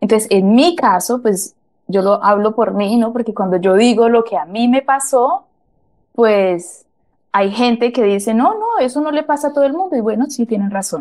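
A woman speaks at a moderate pace in a fairly high pitch with lively intonation. It is a plain, everyday voice. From Colombia, Mariquita, Tolima. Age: 30s. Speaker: interviewee, house cleaner. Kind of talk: interview storytelling.

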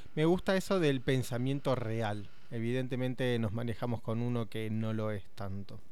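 A man with a Rioplatense accent speaks with hardly any pauses. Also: medium pitch for a man, ordinary pitch variation, moderate pace. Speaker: radio host. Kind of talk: casual radio conversation.

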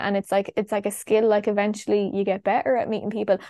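With an Irish Midlands accent, a woman talks very fast in a dark, mellow tone at a fairly high pitch over a quiet background. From Ireland, Longford (Midlands). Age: 20s. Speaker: travel content creator. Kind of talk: casual interview chat.

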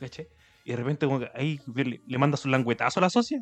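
A man talks with a Chilean accent. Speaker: podcast co-host. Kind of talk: casual chat.

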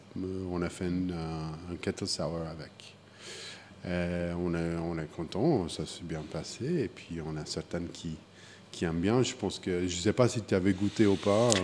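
In an English accent, a man with a very deep, low pitch speaks at a fairly slow pace with fairly even intonation. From US Midwest, Wichita, Kansas. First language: English (speaking French). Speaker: craft brewer. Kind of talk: interview. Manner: halting.

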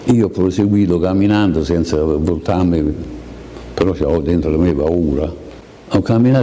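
Amid noticeable background noise and audible room echo, a man speaks at a moderate pace in a very deep, low voice. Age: 80s+. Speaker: Holocaust survivor. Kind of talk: testimony.

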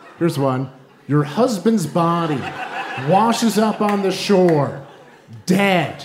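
Over noticeable background noise, a man speaks at a very slow pace with long, frequent pauses. His pitch is high, his intonation lively, and his loudness very even. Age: 30s. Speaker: comedy writer and stand-up comedian. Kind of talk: stand-up. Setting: stage with audience.

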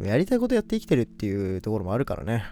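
This man's voice has a dark, mellow tone. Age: 20s. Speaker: podcast host. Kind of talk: casual solo talk.

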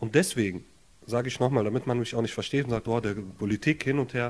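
Talking at a fairly quick pace, a man with an Arabic accent uses a medium pitch. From Germany, Jülich (from Lebanon as child). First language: Arabic (speaking German). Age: 30s. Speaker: social welfare office worker, council candidate. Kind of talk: casual interview. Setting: his apartment.

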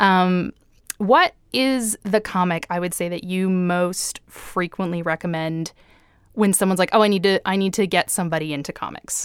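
With an unremarkable speaking voice, a woman talks at a medium pitch and a moderate pace, her intonation fairly even, in a dry, close sound with no echo. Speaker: comics podcast host. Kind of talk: casual chat. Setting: online call.

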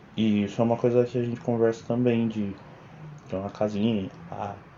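This man speaks in a Paulista accent. His pace is fairly quick. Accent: Paulista Brazilian Portuguese. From Brazil, São Bernardo do Campo (São Paulo). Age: 20s. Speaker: video editor, host's partner. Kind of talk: casual chat.

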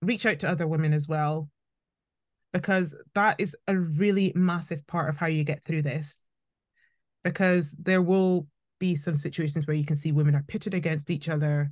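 Over a quiet background, a somewhat breathy voice with a Scottish accent moves at a moderate pace with long, frequent pauses. Intonation is fairly even and loudness very even. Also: woman. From Scotland. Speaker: politician. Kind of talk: interview.

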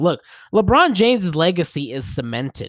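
A man speaks at a high pitch and a moderate pace. The recording is very clean, with a silent background. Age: 20s. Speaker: sports podcast host. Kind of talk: solo podcast commentary. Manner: animated.

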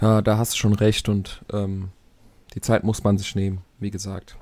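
In a flat monotone, a man speaks with a fairly low pitch. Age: 20s. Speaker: football podcast co-host. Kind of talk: casual chat.

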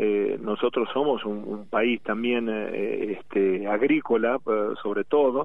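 At a very slow pace, a man talks at a medium pitch with fairly even intonation. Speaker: baritone singer and former rugby player. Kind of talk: interview. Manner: halting.

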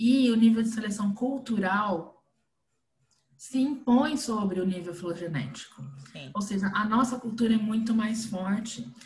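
A woman's fairly high voice with big swings in loudness and audible room echo. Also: ordinary pitch variation, fairly slow pace. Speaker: podcast host, behavior analyst. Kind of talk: casual chat.

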